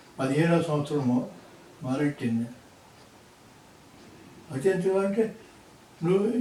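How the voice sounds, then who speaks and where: A man's high-pitched voice with lively intonation, over noticeable background noise. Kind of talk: personal life story told to grandson.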